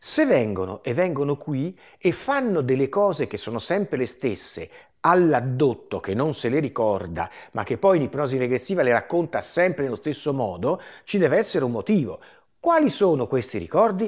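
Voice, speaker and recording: A man speaks at a moderate pace with vocal fry. His pitch swings very widely against a quiet background. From Liguria, La Spezia area; Liguria, Italy. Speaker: retired chemistry professor and UFO researcher; interviewee. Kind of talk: interview. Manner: hesitant, with many fillers. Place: home room. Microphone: lapel.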